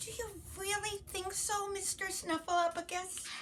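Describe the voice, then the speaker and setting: A woman puts on a character voice at a fairly slow pace, with clear background noise behind her. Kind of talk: bedtime story. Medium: read story.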